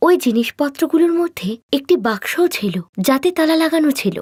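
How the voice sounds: A woman talks at a fairly quick pace with lively intonation. Her tone is slightly mellow.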